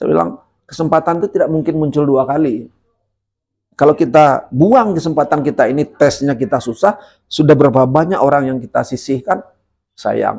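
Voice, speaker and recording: A man's plain, everyday voice at a fairly high pitch, moderate pace and ordinary pitch variation. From Sungai Penuh, Jambi, Sumatra, Indonesia. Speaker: legislative candidate, former teacher. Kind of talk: podcast interview, personal storytelling.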